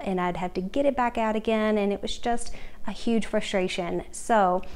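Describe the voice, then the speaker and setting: A woman talks at a moderate pace, her pitch varying in an ordinary way. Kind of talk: tutorial. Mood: friendly, upbeat. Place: kitchen. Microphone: phone near.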